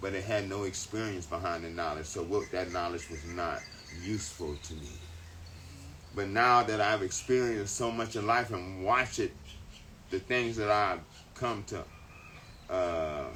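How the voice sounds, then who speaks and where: Amid audible room echo, a man speaks in a fairly low voice with long, frequent pauses. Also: ordinary pitch variation, moderate pace. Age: 60s. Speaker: spiritual teacher. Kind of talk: casual chat.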